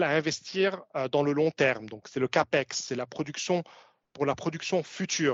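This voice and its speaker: A fairly high male voice at a moderate pace, with ordinary pitch variation. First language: not French (speaking French). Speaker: commodities analyst. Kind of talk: webinar presentation. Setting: webinar. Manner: halting, many filler sounds.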